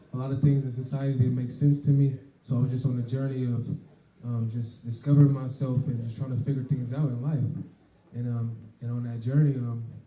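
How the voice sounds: With audible room echo, a man talks at a fairly quick pace and a medium pitch, with a dark, mellow tone and little pitch movement.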